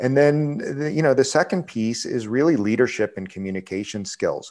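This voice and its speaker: A man speaks with an American accent and lively intonation in a plain, everyday voice. The recording is very clean, with a silent background. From Buffalo, New York. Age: 50s. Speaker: restaurant chain CEO. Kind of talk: interview.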